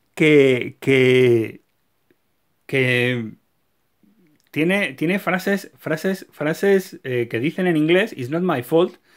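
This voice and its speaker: A man speaks at a very slow pace, leaving long, frequent pauses. The background is quiet. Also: lively intonation. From Spain. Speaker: YouTuber, card game collector. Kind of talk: video tutorial. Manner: animated; halting, repeats words. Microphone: phone near.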